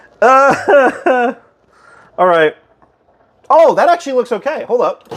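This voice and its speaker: A loud, animated man at an extremely high pitch, with lively intonation and a fairly slow pace. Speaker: streamer. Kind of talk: casual chat.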